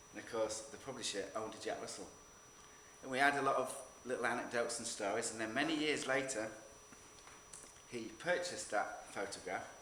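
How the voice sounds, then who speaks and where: There is noticeable background noise and audible room echo as a man talks at a fairly quick pace, with long, frequent pauses, a medium pitch and ordinary pitch variation. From northern England. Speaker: photographer. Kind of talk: talk to an audience. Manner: halting, with repeated words.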